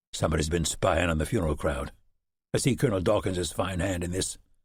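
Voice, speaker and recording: A man's raspy, very deep put-on character voice at a very fast pace, with ordinary pitch variation. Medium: read story. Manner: plainspoken, firm.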